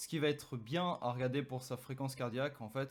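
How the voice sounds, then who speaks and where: A man with an unremarkable speaking voice at medium pitch, a fairly quick pace and fairly even intonation. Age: 20s. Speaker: fitness YouTuber, sports nutritionist. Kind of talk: tutorial.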